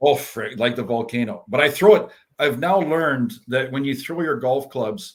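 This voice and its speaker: In a normal speaking voice, a man with a Canadian accent speaks at a moderate pace and a fairly high pitch, his intonation lively. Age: 60s. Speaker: former professional hockey player. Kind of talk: casual chat.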